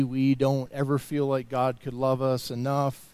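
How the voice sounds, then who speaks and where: A man's fairly high voice, dark and mellow in tone, at a fairly slow pace. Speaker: worship leader. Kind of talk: spoken prayer during worship.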